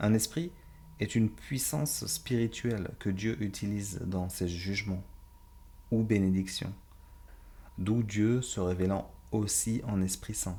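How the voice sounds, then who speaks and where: A man speaks at a very slow pace with long, frequent pauses, his fairly low voice dark and mellow, ordinary pitch variation, and audible room echo. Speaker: Bible teacher. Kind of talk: Bible study lecture.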